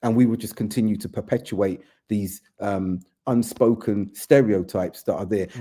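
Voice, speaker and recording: With a British accent, a man talks at a moderate pace. His fairly low voice has a dark, mellow tone. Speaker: community figure. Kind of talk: podcast conversation. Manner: animated.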